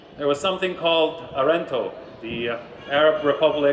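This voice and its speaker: A man's high voice in a New York accent, at a moderate pace with ordinary pitch variation, over noticeable background noise. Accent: New York American. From US, New York. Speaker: business executive. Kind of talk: keynote speech.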